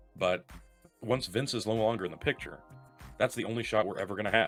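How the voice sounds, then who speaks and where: Over music in the background, a man speaks at a fairly quick pace and medium pitch with ordinary pitch variation. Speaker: wrestling podcast host. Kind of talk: podcast rant. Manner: passionate, emphatic.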